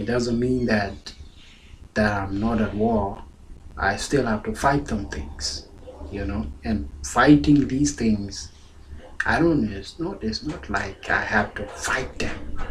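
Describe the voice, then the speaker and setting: At a very slow pace, the voice moves in very wide pitch swings, with audible room echo and noticeable background noise. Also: man, fairly low pitch for a man. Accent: South Sudanese. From South Sudan. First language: Dinka. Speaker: pastor. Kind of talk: sermon.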